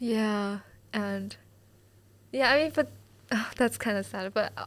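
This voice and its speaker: Speaking with a Mandarin accent, a woman goes at a fairly slow pace. The recording is very clean with a silent background. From mainland China, Beijing. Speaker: student podcast host. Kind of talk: recorded aside during editing; casual chat.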